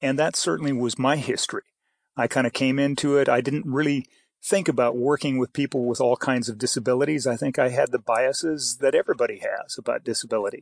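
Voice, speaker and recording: Against a quiet background, a man with an American accent talks very fast. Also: dry, close sound with no echo. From Idaho and Canada. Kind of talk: interview. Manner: hesitant, many fillers.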